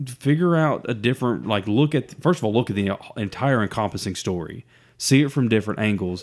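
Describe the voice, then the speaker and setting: Over a silent background in a very clean recording, a man with an Alabama accent speaks with lively intonation. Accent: Southern US (Alabama). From US South. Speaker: podcast co-host. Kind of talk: casual chat.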